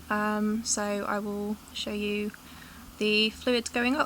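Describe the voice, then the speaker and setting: In an East Midlands accent, a woman speaks with a fairly high pitch and monotone, flat intonation. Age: 20s. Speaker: tube-fed patient vlogger. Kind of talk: casual vlog talk to camera.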